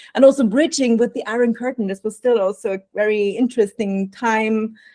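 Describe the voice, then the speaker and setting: Her tone dark and mellow, a woman speaks fairly quickly at a fairly high pitch with fairly even intonation. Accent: Austrian. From Austria, Vienna. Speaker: burnout prevention coach. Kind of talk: podcast interview.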